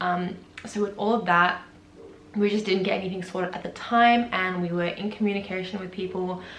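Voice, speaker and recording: A woman in an Australian accent, medium-pitched and monotone, at a fairly quick pace, with audible room echo and noticeable background noise. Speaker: vlogger. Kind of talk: casual vlog talk.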